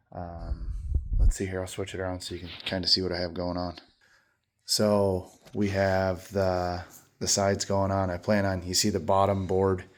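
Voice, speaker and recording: A man speaks at a moderate pace in a very deep, low pitch and a monotone, flat intonation. Audible room echo is present. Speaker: lawn care business owner. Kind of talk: casual workshop vlog. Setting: garage. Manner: casual with many fillers.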